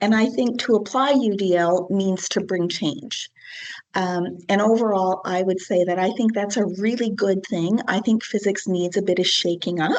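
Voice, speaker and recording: Against a quiet background, a woman with a plain, everyday voice speaks at a moderate pace, medium in pitch, with ordinary pitch variation and very even loudness. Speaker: physics lab instructor. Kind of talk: lecture.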